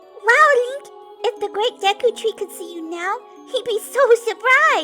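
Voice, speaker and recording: A cartoonish character voice speaks at an extremely high pitch. Clear music plays in the background. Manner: chirpy, eager.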